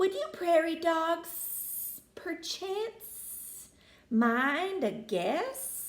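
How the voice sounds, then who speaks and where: Putting on a character voice in a Southern US accent, a woman talks at a very slow pace with an extremely high pitch and very wide pitch swings. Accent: Southern drawl. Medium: read story. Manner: drawling, polite.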